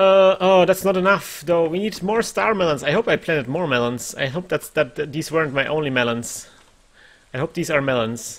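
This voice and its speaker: This man speaks at a fairly quick pace. His intonation is lively. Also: fairly high pitch for a man. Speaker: gaming streamer. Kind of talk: casual gameplay commentary. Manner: animated, chatty. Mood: mildly worried. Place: home room.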